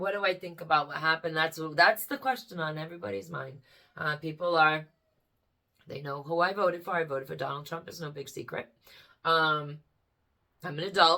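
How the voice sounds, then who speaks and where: A woman's bright, sharp, animated voice with an American accent, big swings in loudness, and long, frequent pauses. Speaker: vlogger. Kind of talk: casual chat. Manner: hesitant fillers.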